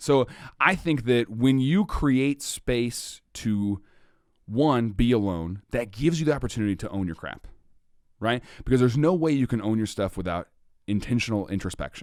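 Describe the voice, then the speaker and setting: An animated man at medium pitch, lively in intonation, on a very clean recording with a silent background. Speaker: comedian and podcaster. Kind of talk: casual podcast conversation. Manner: fast.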